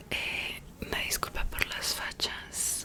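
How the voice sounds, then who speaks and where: A woman's whisper at a very slow pace over noticeable background noise. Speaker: ASMR creator. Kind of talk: whispered study session / reading notes. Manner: whispered, soft-spoken, close to the microphone.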